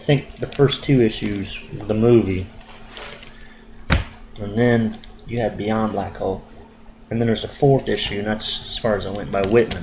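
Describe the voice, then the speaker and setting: Amid noticeable background noise, a man with a fairly low voice talks at a moderate pace with fairly even intonation and long, frequent pauses. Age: 40s. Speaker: comic book collector. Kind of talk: casual talk to camera. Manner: whispered.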